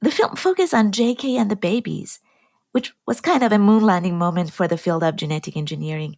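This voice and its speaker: A woman speaks in an Iranian accent, somewhat breathy, with very wide pitch swings, on a very clean recording with a silent background. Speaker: genetic engineer and film producer. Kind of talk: podcast conversation.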